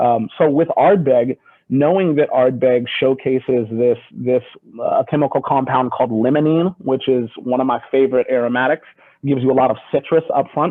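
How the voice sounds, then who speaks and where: Speech comes at a medium speed. The pitch holds fairly level throughout. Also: man. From US Pacific Northwest, Seattle. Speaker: whisky brand ambassador. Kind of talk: video call interview.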